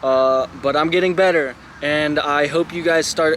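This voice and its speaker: Noticeable background noise runs under this recording. A man speaks at a fairly high pitch with lively intonation. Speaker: vlogger. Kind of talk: casual vlog talk to camera.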